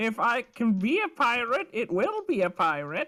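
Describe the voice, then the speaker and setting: The speaker uses a put-on character voice at a fairly high pitch, with very wide pitch swings. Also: moderate pace. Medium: actual play. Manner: cheerful, rambling.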